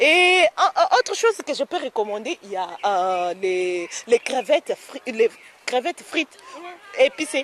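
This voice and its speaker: Very slow and high-pitched, a woman's voice makes very wide pitch swings and big swings in loudness, with long, frequent pauses. The sound is dry and close with no echo, though noticeable background noise comes through. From DR Congo. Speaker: student. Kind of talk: interview. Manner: halting.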